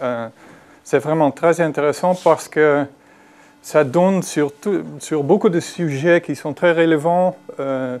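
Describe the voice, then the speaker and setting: A man with a Dutch accent speaks at a very slow pace. His fairly high voice shows ordinary pitch variation. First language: Dutch (speaking French). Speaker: psychiatry professor, discussant. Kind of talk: conference lecture. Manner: halting, many fillers.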